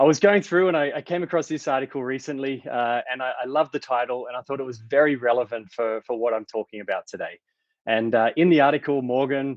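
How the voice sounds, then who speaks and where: A man with an Australian accent talks at a fairly quick pace with ordinary pitch variation, the sound dry and close with no echo against a quiet background. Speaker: tech company founder and CEO. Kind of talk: conference talk.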